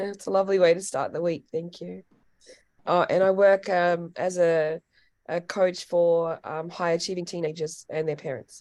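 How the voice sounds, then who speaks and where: Her voice fairly low, a woman with an Australian accent speaks at a moderate pace with monotone, flat intonation. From Australia, Wagga Wagga, New South Wales. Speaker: youth coach. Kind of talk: casual chat.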